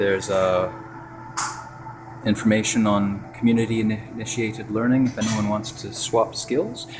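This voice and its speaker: A quiet man's voice, fairly low in pitch, with monotone, flat intonation, a moderate pace, long, frequent pauses and noticeable background noise. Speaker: co-op member giving a building tour. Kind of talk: casual walking video tour narration. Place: hall. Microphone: phone near.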